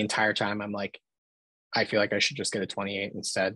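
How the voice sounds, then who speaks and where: A man with an American accent and a fairly low pitch, dry sound with no echo, quiet background. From Philadelphia. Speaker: film photographer; podcast guest. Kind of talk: casual chat. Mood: relaxed, friendly. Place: home room. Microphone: video call.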